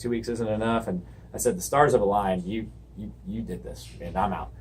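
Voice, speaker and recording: Audible room echo follows a man speaking at a fairly quick pace with an American accent. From US South, Georgia (Alpharetta, Milton area). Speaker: auto shop owner. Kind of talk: casual interview. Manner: animated storytelling.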